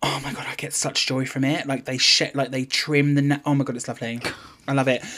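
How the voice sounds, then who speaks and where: A man speaks at a very fast pace in a British accent, his pitch fairly high and his intonation flat and monotone. Noticeable background noise runs underneath. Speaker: podcast co-host. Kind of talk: casual chat.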